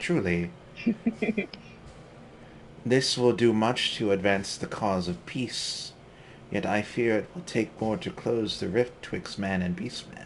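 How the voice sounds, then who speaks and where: A man puts on a nasal character voice in a British accent, pitched in the medium range with lively intonation. He talks at a fairly slow pace with long, frequent pauses over clear background noise. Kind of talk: formal, archaic.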